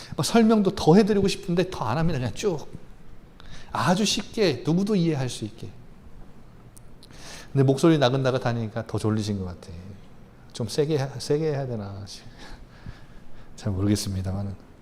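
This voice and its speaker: Somewhat breathy at a medium pitch, a man talks with very wide pitch swings and long, frequent pauses in audible room echo. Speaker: pastor. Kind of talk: sermon. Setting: church. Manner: soft, gentle today; fast.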